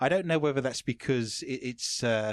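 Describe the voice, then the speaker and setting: A man with a London accent at a fairly quick pace, in a very clean recording with a silent background and a dry, close sound with no echo. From London, England. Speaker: interviewer. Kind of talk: interview. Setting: studio.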